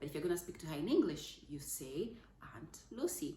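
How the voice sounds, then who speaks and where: A woman with a very deep, low voice talks at a fairly quick pace with ordinary pitch variation, and audible room echo is present. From Zambia. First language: Zambian language, not English. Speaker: parenting vlogger. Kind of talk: casual talk to camera. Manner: halting, with fillers.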